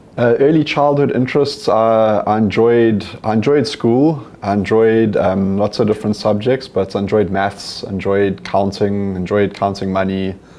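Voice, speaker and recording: Amid noticeable background noise, a man with fairly low pitch speaks at a moderate pace, with very even loudness and hardly any pauses. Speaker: company CEO and entrepreneur. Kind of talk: interview on stage. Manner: monotone.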